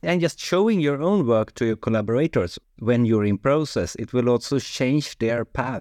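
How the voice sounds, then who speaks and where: A man with a Swedish accent, medium in pitch, at a moderate pace with lively intonation and hardly any pauses, over a quiet background. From Sweden. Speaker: sound designer and composer. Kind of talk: casual interview chat. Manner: halting, hesitant.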